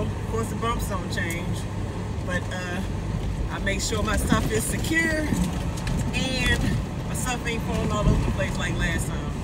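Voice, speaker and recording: Loud background noise runs under the speech. The pace is fairly slow, with long, frequent pauses. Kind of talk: casual vlog chat. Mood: annoyed but joking. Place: car. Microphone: phone near.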